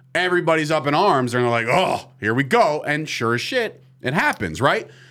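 A man's fairly high, bright and sharp voice with vocal fry, very wide pitch swings and a moderate pace. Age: 30s. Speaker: sports podcast host. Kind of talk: casual chat. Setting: studio.

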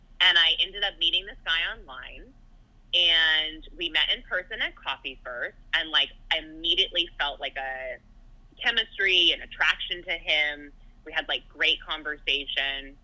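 A woman with a Californian accent talks at a moderate pace. Her loudness swings widely. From Southern California. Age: 30s. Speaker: podcast host. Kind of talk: casual chat.

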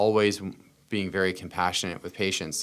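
A man with an American accent, very deep and low in pitch, in a flat monotone. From Pennsylvania. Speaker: healthcare entrepreneur. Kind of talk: casual interview.

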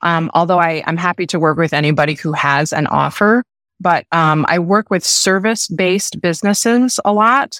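An energetic woman at a medium pitch, moderate pace and ordinary pitch variation, recorded dry and close with no echo. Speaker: brand strategist. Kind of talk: interview. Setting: video call. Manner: hesitant fillers.

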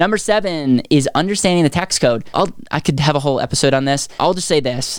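A man talks at a very fast pace in an excited, energetic tone. His pitch is fairly high, with ordinary variation. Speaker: podcast host; finance educator and author. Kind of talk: casual motivational finance talk. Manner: fast talker.

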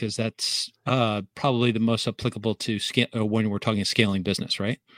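A normal speaking voice at a fairly quick pace. The sound is dry and close, with no echo. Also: man. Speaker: SEO consultant podcast host. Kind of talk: interview questions, casual chat.

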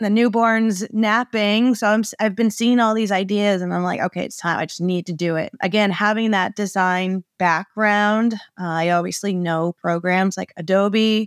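A woman with an American accent uses a normal speaking voice at a medium pitch and moderate pace, with fairly even intonation and hardly any pauses, on a very clean, dry, close recording with a silent background and no echo. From Maine, US. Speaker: small business owner, sign designer. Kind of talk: interview, casual chat.

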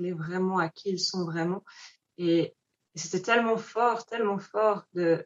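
Long, frequent pauses break up a woman's very slow speech, delivered in a medium pitch with fairly even intonation. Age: 20s. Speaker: founder of a human-animal connection project. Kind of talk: interview conversation.

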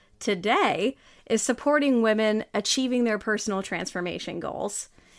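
A woman sounds animated, speaking at a fairly high pitch with ordinary pitch variation. Her pace is moderate, and the recording is very clean with a silent background. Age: 30s. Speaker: podcast host and life coach. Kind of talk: motivational monologue.

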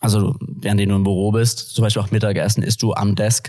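Over a silent background in a very clean recording, a man with an unremarkable speaking voice talks at fairly low pitch and a moderate pace. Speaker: business student and former banker. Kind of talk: podcast interview. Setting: studio, sitting opposite the host.

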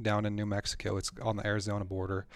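A man speaks in a fairly low voice with an Upper Midwestern accent. The recording is very clean, with a silent background. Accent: Upper Midwestern American. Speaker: hunter and membership staff. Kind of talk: casual storytelling interview. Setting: studio. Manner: halting, repeats words.

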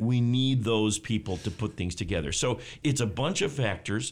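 This man has an unremarkable speaking voice, a fairly low pitch and an American accent, and he talks at a moderate pace. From Texas. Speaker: economics professor. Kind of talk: interview. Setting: studio.

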